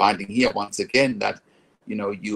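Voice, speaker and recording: The voice belongs to a man. Its pitch rises and falls by an ordinary amount. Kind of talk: advice vlog monologue. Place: home room. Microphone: phone near.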